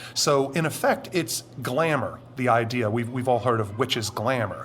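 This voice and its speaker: A man at a medium pitch and moderate pace, with ordinary pitch variation and noticeable background noise. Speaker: anonymous witness, former military, Satanist. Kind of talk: interview testimony.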